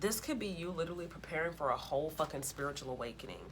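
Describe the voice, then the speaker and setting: A woman's very fast speech with audible room echo and noticeable background noise. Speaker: tarot reader. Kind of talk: tarot reading. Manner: animated; loud.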